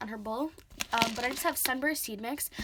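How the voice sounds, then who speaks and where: A woman talks in an American accent, her pitch fairly high with ordinary variation. Noticeable background noise runs underneath. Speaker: pet care vlogger. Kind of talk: tutorial. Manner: fast; hesitant, many fillers.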